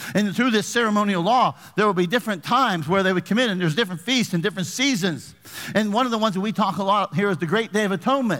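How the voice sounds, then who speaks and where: Very fast pace, very even loudness and ordinary pitch variation. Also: man, high pitch for a man. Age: 50s. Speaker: pastor. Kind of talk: sermon. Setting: church.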